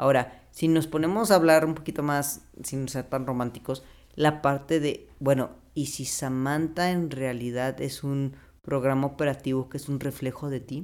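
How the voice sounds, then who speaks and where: Speaking with a Mexican accent, a man uses fairly high pitch and fairly even intonation at a fairly slow pace. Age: 30s. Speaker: biologist. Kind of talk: casual chat.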